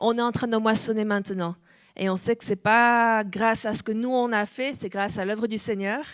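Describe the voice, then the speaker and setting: A woman with a fairly high pitch is heard on a very clean recording with a silent background. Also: fairly even intonation, moderate pace. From France, Nice. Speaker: pastor. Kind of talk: sermon. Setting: church.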